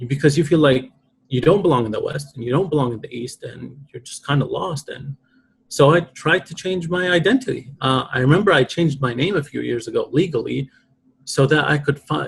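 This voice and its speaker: Fairly quick, somewhat breathy speech from a man with a fairly high pitch, ordinary pitch variation and big swings in loudness. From Iraq. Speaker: poet, author. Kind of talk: podcast interview. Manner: reflective, emotional.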